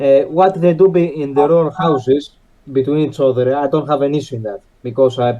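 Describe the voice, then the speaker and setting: A man with a non-native accent speaks at a moderate pace in a fairly high pitch with ordinary pitch variation. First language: not English. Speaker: podcast panelist. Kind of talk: debate. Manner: halting, many fillers.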